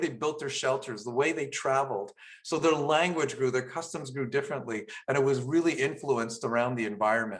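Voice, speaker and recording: With a Canadian accent, a man talks at a fairly quick pace in a fairly high pitch, showing ordinary pitch variation. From Saskatchewan, Canada (Cree nation). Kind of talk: online presentation. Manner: halting.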